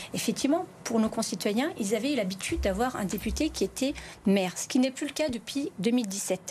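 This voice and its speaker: A woman with a normal speaking voice talks at a moderate pace with a fairly high pitch. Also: lively intonation. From France, Lyon area (Vénissieux, Bron). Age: 40s. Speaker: member of parliament and nurse. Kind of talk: televised political debate.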